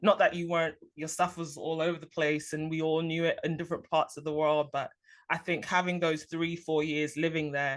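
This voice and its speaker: A woman with a London accent speaks at a moderate pace in a very deep, low pitch. Her intonation is monotone and flat over a quiet background. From London, England. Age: 30s. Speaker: podcast host. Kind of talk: interview.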